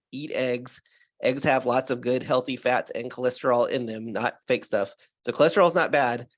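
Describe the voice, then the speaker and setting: A man of medium pitch talks at a very fast pace. The background is quiet. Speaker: alternative health doctor. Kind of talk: interview answer.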